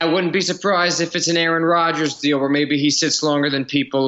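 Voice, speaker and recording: In an American accent, a man talks at a fairly quick pace in a normal speaking voice with ordinary pitch variation. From New Jersey. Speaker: sports beat writer. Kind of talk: casual chat.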